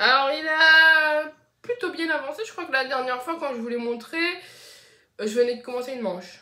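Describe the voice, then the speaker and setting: A woman uses a raised, projected voice with a high pitch and lively intonation. Her tone is bright and sharp, and audible room echo surrounds it. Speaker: knitting podcaster. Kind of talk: casual podcast monologue. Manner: hesitant, many fillers.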